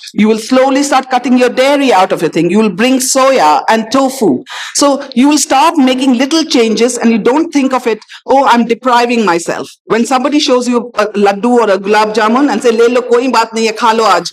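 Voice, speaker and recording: Over noticeable background noise, a woman with a high pitch talks at a fairly quick pace with hardly any pauses, ordinary pitch variation and very even loudness. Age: 60s. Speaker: doctor. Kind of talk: panel discussion.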